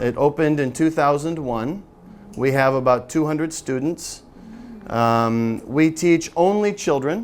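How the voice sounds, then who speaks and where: With music in the background, a man with an American accent speaks fairly slowly at a fairly high pitch, varying it in an ordinary way. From US Midwest, Michigan. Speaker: English teacher, seminar presenter. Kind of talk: teacher-training seminar talk. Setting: seminar room with audience, no microphone. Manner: loud.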